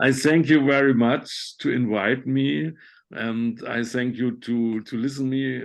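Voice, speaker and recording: Someone with a German accent speaks at a fairly slow pace. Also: man, medium pitch for a man, ordinary pitch variation. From Germany. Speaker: conceptual artist. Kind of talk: online talk Q&A. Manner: halting.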